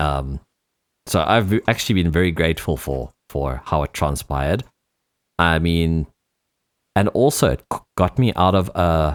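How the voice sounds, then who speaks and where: The delivery is fairly slow, with long, frequent pauses and ordinary pitch variation, in a dry, close sound with no echo. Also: man, very deep, low pitch for a man. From South Africa. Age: 30s. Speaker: DJ and music producer. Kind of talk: interview. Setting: radio show interview. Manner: halting.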